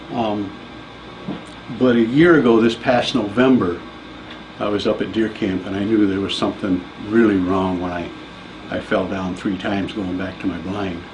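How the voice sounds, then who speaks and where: In a room with audible echo and noticeable background noise, a man with a fairly low pitch and ordinary pitch variation speaks at a moderate pace, leaving long, frequent pauses. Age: 50s. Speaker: patient giving testimonial. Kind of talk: testimony.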